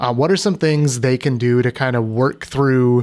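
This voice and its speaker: A man with a normal speaking voice talks at a medium pitch with fairly even intonation in a very clean recording with a silent background. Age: 30s. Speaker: podcast host. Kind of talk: casual chat.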